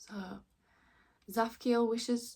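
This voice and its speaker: Fairly slow and somewhat breathy, a woman speaks in a strong Yorkshire accent with monotone, flat intonation. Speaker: tarot reader. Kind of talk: tarot reading with card text read aloud.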